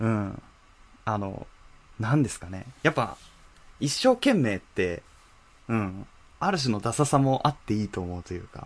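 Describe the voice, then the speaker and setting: Lively intonation and a moderate pace in a man's medium-pitched speech. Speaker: podcast co-host. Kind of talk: casual chat.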